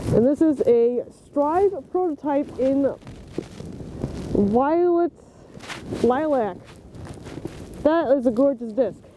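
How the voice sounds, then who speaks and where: Extremely high-pitched male speech, very slow with long, frequent pauses, lively intonation and very even loudness, over noticeable background noise. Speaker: disc golf youtuber. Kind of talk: unboxing vlog. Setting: outdoors in snowy park. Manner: animated.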